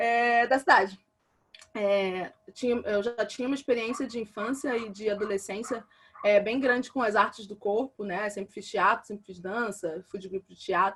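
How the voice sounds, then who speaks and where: A woman speaks at a moderate pace. She has a Rio de Janeiro accent. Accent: carioca. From Rio de Janeiro, Brazil (Realengo, west zone). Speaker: visual artist. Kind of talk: online talk presentation. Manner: hesitant, many fillers.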